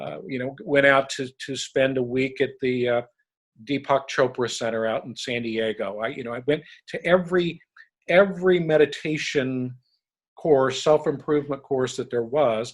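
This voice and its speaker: A man with a plain, everyday voice in an American accent, medium pitch, ordinary pitch variation, big swings in loudness and a moderate pace. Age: 60s. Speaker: leadership recruiter. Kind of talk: podcast interview.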